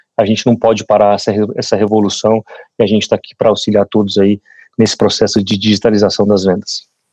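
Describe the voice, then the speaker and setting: A man with a fairly low pitch talks at a very fast pace in a flat monotone. His loudness stays very even, and the sound is dry and close with no echo. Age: 40s. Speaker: sales executive. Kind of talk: podcast panel discussion. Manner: halting, many repetitions.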